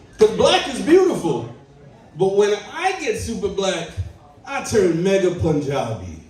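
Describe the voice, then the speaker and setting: A man speaks in an animated tone at a fairly slow pace. Room echo is audible, and background noise is noticeable. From Trinidad and Tobago. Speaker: stand-up comedian. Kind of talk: stand-up. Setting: stage with audience.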